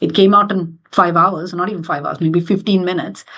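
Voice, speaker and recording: In an Indian accent, the speaker moves at a fairly quick pace with fairly even intonation. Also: woman. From India, Mumbai. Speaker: finance executive and board member. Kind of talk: interview conversation.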